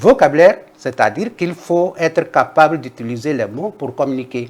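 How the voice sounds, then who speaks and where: Speaking with a Togolese accent, a man uses lively intonation at a fairly high pitch. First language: Kabye (speaking French). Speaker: linguist. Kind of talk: interview. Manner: explanatory, measured.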